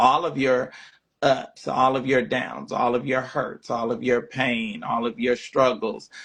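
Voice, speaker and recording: The speaker is a man. He has a Southern US accent. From US South. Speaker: livestream talk show host. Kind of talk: casual livestream monologue. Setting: live stream. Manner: slow; halting, many repeated words.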